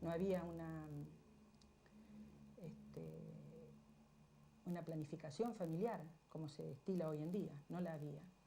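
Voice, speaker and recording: A woman at a fairly slow pace, with long, frequent pauses and audible room echo. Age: 60s. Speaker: interviewee. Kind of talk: television interview.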